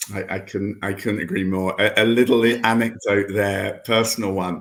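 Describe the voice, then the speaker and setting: The man's pitch is fairly low and his intonation monotone and flat. He talks at a moderate pace. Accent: English. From England. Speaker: investor and event host. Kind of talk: online investor matching event. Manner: halting, repetitive.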